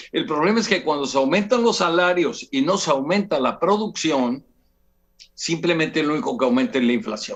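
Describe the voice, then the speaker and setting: A man speaks at a moderate pace in a high pitch, with very wide pitch swings. His loudness stays very even. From Mexico, Veracruz. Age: 70s. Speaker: businessman and political commentator. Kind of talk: TV interview political analysis. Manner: halting, many repetitions and fillers. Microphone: unstable remote connection.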